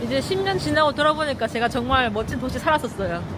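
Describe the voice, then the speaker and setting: Over crowd noise in the background, a woman with a high voice talks at a very fast pace in an animated tone. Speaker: travel vlogger. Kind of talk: travel vlog narration.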